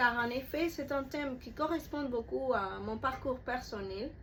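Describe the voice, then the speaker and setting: The woman's voice is high-pitched, with ordinary pitch variation. She talks at a fairly slow pace. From Cuba. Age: 20s. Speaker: student applicant. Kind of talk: prepared self-presentation.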